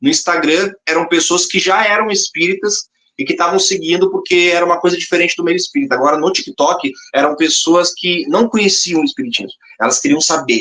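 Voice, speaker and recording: In a southern Brazilian accent, a man talks with an animated tone and lively intonation at a fairly quick pace, high in pitch and very even in loudness. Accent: gaúcho Brazilian Portuguese. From Rio Grande do Sul, southern Brazil. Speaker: spiritist comedian and content creator. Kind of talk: podcast interview.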